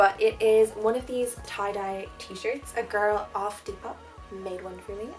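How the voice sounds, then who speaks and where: A woman speaks with an Irish accent. Music plays in the background. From Ireland. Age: 20s. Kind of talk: casual talk to camera. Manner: chatty, rambling.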